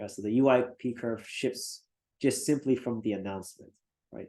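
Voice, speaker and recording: In a plain, everyday voice, a man speaks at a moderate pace and a medium pitch with ordinary pitch variation. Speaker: university lecturer. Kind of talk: lecture.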